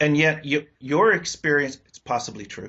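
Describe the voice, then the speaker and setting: A man with an American accent speaks in a plain, everyday voice at a moderate pace, his pitch fairly high. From United States. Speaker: interviewer. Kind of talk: interview.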